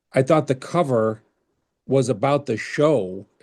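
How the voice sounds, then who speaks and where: Against a quiet background, a man with an unremarkable speaking voice and an American accent talks at a medium pitch with ordinary pitch variation. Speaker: podcast interviewer. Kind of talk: interview.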